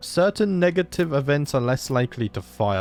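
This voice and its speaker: Over music in the background, a man speaks at a moderate pace. His pitch swings very widely, and the sound is dry and close with no echo. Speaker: gaming youtuber. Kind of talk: gameplay commentary. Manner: hesitant, filler words.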